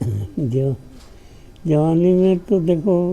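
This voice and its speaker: A man talks at a high pitch. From South India and a village. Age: 80s+. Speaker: interviewee, army officer's son. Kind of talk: interview answer.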